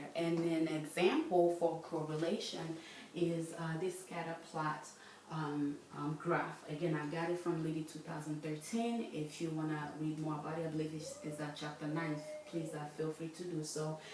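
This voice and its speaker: Moderate-paced speech in a monotone, flat intonation, with audible room echo and noticeable background noise. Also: woman, very deep, low pitch for a woman. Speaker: student presenter. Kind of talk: lecture. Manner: halting, many fillers.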